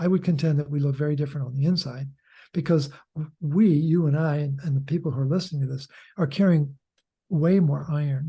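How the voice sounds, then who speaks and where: Against a quiet background, a man with fairly high pitch speaks at a fairly quick pace, somewhat breathy, with a dark, mellow tone and fairly even intonation. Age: 70s. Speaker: author and health educator. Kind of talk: interview.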